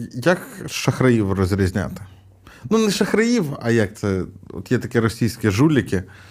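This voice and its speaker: A man with a medium pitch talks at a fairly slow pace, leaving long, frequent pauses. His loudness stays very even while his intonation is lively. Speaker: podcast co-host, tech investor. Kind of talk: casual chat.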